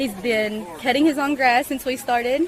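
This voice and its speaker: A woman talks at a moderate pace in an Appalachian accent, with ordinary pitch variation. Background noise is noticeable. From eastern Kentucky, Appalachia. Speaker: parent at farmers market. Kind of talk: radio interview.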